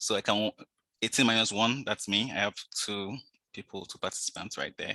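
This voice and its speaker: Fairly quick and fairly low-pitched, a man speaks with a bright, sharp tone and fairly even intonation in a dry, close sound with no echo. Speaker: toastmasters presenter, data enthusiast. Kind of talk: online presentation. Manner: fast.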